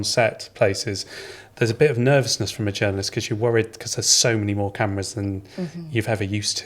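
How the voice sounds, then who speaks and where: The speech comes at a very fast pace, somewhat breathy, with ordinary pitch variation. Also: man. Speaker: podcast host. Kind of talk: podcast interview questions.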